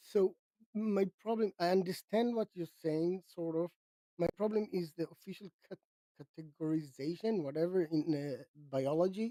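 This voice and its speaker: In a dry, close recording with no echo, a man with a non-native accent speaks in a dark, mellow tone. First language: not English. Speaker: atheist debater. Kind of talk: heated debate. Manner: halting.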